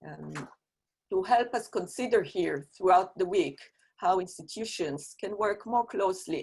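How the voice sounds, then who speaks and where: A woman talks at a moderate pace. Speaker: university researcher. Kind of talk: conference presentation. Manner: formal.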